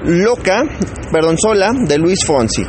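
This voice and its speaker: An upbeat man speaks at a moderate pace with lively intonation. Crowd noise carries in the background. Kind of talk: radio DJ patter introducing songs between tracks. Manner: chatty, improvised and upbeat, rambling and self-correcting, with casual Mexican slang.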